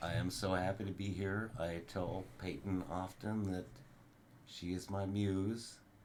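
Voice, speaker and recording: A man with a very deep, low voice speaks at a fairly slow pace, with audible room echo around him. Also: fairly even intonation. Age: 60s. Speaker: grandfather guest on podcast. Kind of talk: casual chat.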